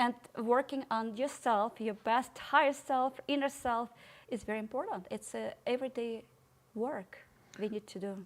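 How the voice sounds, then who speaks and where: Pitched high, a woman speaks with ordinary pitch variation. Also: moderate pace. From Ukraine. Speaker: podcast guest. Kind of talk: interview conversation.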